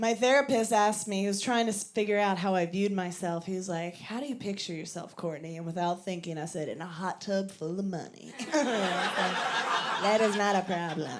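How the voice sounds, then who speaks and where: Noticeable background noise and audible room echo surround a woman's voice. She speaks with hardly any pauses and ordinary pitch variation. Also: medium pitch for a woman, moderate pace. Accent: American. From Virginia, US. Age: 30s. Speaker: stand-up comedian. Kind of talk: stand-up. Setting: stage with audience.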